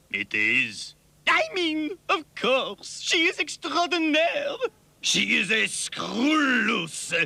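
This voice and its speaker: A man puts on an extremely high, cartoonish character voice with a theatrical tone, speaking at a very slow pace. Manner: theatrical, temperamental.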